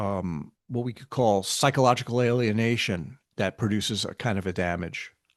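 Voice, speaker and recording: A man with an American accent uses a plain, everyday voice at a fairly low pitch, with ordinary pitch variation and big swings in loudness. He speaks at a moderate pace with hardly any pauses against a quiet background. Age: 60s. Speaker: spiritual teacher. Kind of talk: casual chat.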